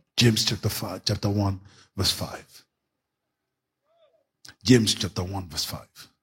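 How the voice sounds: The voice has a husky, rough edge and a fairly bright tone, moving at a fairly slow pace with ordinary pitch variation. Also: man.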